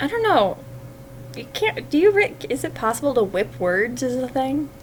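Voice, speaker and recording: Amid noticeable background noise, a woman speaks at a moderate pace. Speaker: fanfiction writer livestreamer. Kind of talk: casual livestream chat while writing. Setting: livestream. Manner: gets louder when excited; hesitant, many fillers.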